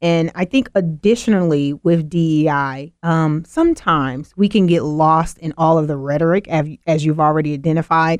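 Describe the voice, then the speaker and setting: A woman with a very deep, low pitch speaks with hardly any pauses in a dry, close sound with no echo. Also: ordinary pitch variation, moderate pace. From US South (Mississippi). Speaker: diversity and inclusion consultant. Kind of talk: radio interview.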